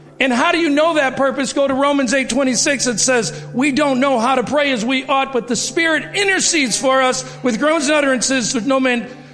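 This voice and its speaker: The speech moves at a fairly quick pace with hardly any pauses, very even loudness and ordinary pitch variation, with audible room echo and noticeable background noise. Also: man, extremely high pitch for a man. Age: 50s. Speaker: church member giving testimony. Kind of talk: testimony. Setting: church.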